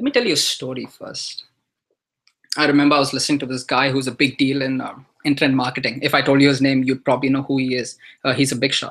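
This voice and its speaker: Very fast speech with an Indian accent. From India (earlier childhood in Dubai). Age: 20s. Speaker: online marketer. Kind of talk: webinar presentation. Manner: hesitant, many fillers.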